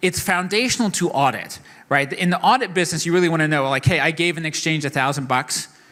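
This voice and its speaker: With an American accent, a man speaks at a fairly quick pace. His high-pitched voice has a bright, sharp tone and ordinary pitch variation. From not New York. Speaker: keynote speaker on blockchain. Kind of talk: conference keynote. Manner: fast.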